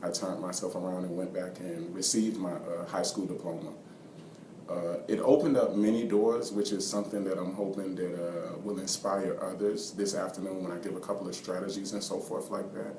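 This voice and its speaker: A man with a fairly low voice speaks at a fairly quick pace and with fairly even intonation, with audible room echo and noticeable background noise. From US, Washington DC and Georgia. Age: 20s. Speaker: basketball coach and student. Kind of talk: interview. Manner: soft-spoken; halting, many fillers.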